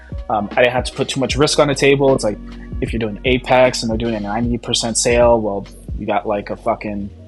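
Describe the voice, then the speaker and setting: A man is speaking. Music plays in the background. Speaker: amateur futures trader. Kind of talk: casual talk to camera. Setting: poor home recording without microphone. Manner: casual, profane, hesitant.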